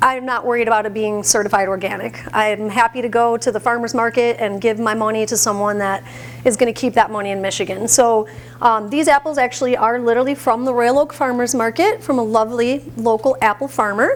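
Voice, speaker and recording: A woman speaks fairly quickly with fairly even intonation. Noticeable background noise is present. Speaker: plant-based chef. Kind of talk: cooking demonstration. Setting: stage with audience, microphone. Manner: loud.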